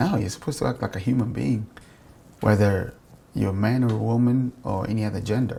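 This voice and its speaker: A man's fairly low, dark and mellow voice, somewhat breathy, very fast, with ordinary pitch variation. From Africa. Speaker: interviewee. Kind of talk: street interview.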